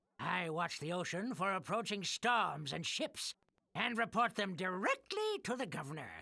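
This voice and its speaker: A man speaks in a put-on character voice with a high pitch. The recording is very clean with a silent background, and the sound is dry and close with no echo. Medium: video game. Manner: chuckling, teasing.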